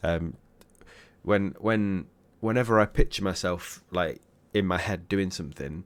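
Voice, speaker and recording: The speaker has an English accent and a fairly slow pace. Long, frequent pauses break up the speech. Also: man, very deep, low pitch for a man, ordinary pitch variation. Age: 30s. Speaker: music reaction youtuber. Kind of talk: casual reaction commentary. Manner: hesitant, many fillers.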